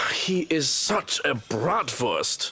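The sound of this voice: With big pitch swings and a bright, sharp tone, a man performs a fairly high-pitched put-on character voice at a very slow pace.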